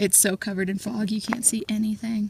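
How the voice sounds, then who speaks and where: Somewhat breathy, fairly high female speech at a moderate pace, fairly even in intonation, with a dry, close sound and no echo. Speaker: travel vlogger. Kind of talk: casual vlog narration while hiking. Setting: outdoors on a mountain trail.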